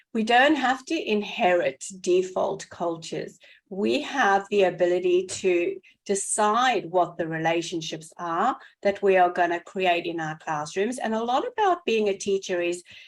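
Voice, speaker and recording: On a very clean recording with a silent background, a woman with a South African accent speaks fairly slowly at a medium pitch with ordinary pitch variation. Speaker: educator, podcast co-host. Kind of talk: casual podcast conversation.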